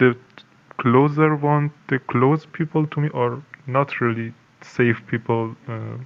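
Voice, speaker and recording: A man with a Persian accent, medium in pitch, at a very slow pace with fairly even intonation. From Iran. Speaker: anonymous insider. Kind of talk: interview. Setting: video call, camera off. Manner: halting, many fillers.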